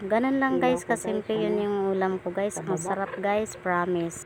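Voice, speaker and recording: Through noticeable background noise, a woman speaks in a relaxed tone at a fairly slow pace. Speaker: vlogger. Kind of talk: casual mukbang vlog with voice-over. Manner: relaxed, chatty.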